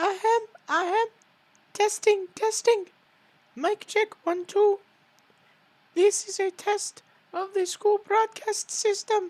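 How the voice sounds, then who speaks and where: An extremely high-pitched put-on character voice, fairly slow, with long and frequent pauses. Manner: officious, comic.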